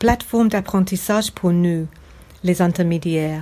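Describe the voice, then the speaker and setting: This woman has an English accent and a dark, mellow tone. Her pitch varies in an ordinary way. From England. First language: English (speaking French). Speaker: podcast listener, French learner. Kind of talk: recorded listener testimony.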